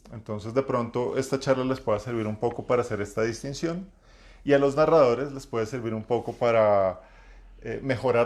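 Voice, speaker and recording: This man's voice sits at medium pitch with fairly even intonation. He keeps to a moderate pace. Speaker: role-playing game master and community host. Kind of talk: live-streamed talk. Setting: live stream. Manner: halting, many fillers.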